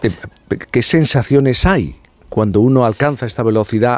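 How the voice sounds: At a moderate pace, a man talks at medium pitch with ordinary pitch variation and a slightly mellow tone.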